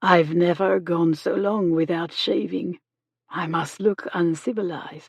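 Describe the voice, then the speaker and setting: A woman puts on a character voice with a fairly low pitch. She talks at a fairly slow pace with fairly even intonation. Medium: read story. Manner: formal, courteous.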